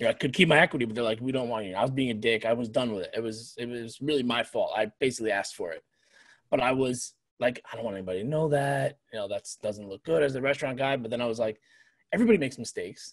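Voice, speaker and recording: Against a quiet background, a man with an American accent talks very fast. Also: ordinary pitch variation. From New York area. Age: 40s. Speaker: restaurant owner and chef; podcast guest. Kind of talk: casual chat. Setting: video call. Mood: candid, reflective. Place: home room. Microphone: video call.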